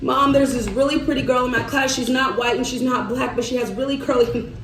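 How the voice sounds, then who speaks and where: A woman with an American accent speaks at a fairly high pitch. Noticeable background noise and audible room echo come through. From US South, Arkansas. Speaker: vlogger and market vendor. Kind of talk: casual vlog chat while doing makeup. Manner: animated.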